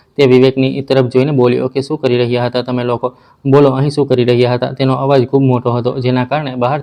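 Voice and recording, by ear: The passage is read aloud. Its delivery is in a natural voice.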